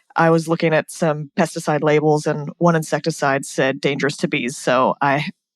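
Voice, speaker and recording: A fairly quick pace in an American accent, with a quiet background and a dry, close sound with no echo. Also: woman. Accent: American, noticeable in Australia. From US, California. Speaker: bee scientist. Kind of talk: podcast interview.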